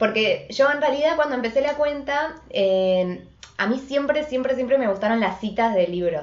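A woman with an Argentine accent and very wide pitch swings, over noticeable background noise. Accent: Rioplatense Argentine Spanish. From Argentina, Buenos Aires. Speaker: writer and Instagram live co-host. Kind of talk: casual chat. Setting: Instagram live video stream.

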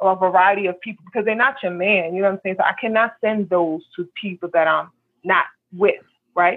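At a fairly quick pace, a woman with an American accent speaks in a normal speaking voice at a medium pitch. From the Bronx, New York. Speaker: panel guest.

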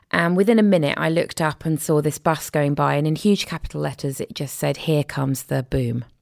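A woman with an English accent and a very deep, low pitch speaks at a fairly quick pace with lively intonation and hardly any pauses. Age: 40s. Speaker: filmmaker and author. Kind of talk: personal testimony in interview. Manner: hesitant, many fillers.

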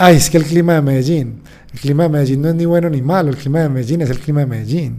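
A man's fairly high voice, with audible room echo. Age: 30s. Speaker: sports psychologist. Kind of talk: interview. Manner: halting.

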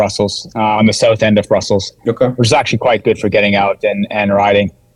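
Fairly even intonation marks this man's speech in a Maritimes accent. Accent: Canadian English (Maritimes). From Canada, New Brunswick (Sussex area). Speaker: former pro cyclist and ultra trail runner. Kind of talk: casual interview chat. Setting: video call.

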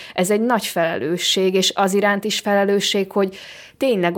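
A plain, everyday voice from a woman at medium pitch and moderate pace, on a very clean recording with a silent background. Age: young. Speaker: film director. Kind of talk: interview. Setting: hotel room.

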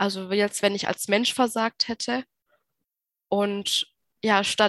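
A woman speaks at a moderate pace in a medium pitch. The sound is dry and close with no echo, over a quiet background. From Baden-Württemberg, Germany. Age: 20s. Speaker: nurse and mental health patient sharing experience. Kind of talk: interview testimony.

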